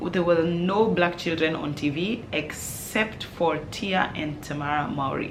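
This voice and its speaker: A woman with a fairly low pitch talks with hardly any pauses. Noticeable background noise and audible room echo fill the recording. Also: ordinary pitch variation, fairly slow pace. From Kenya, Nairobi. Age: 30s. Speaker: parenting vlogger and sleep coach. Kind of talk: casual Q&A vlog. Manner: loud.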